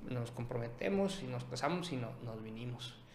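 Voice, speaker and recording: This man has an ordinary speaking voice and lively intonation, and he talks at a fairly slow pace. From Sonora, Mexico (Ciudad Obregón). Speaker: image consultant and entrepreneur. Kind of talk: casual chat.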